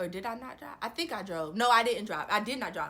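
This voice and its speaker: In a raised, projected voice, a woman speaks with an animated tone that is bright and sharp. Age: 20s. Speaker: storytime vlogger. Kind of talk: casual storytelling.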